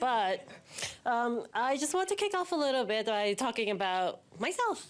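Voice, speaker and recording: Very wide pitch swings mark this woman's voice in a New York accent. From New York City, Manhattan. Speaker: banking executive, keynote speaker. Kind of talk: keynote speech. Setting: stage with audience, behind a podium. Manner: casual, humorous.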